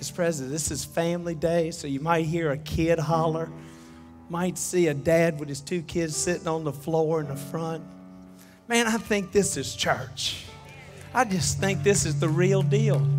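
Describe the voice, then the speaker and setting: Clear music plays in the background as a man speaks at a fairly slow pace with ordinary pitch variation. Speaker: preacher. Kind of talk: sermon. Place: church. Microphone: headset.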